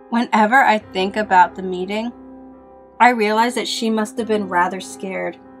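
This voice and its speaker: With music in the background, a woman speaks at a moderate pace in a fairly high pitch with fairly even intonation. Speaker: horror story narrator. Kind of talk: horror story narration.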